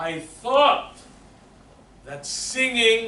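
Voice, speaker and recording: Over noticeable background noise and audible room echo, a man speaks very slowly with lively intonation. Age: 60s. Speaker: voice teacher. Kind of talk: lecture.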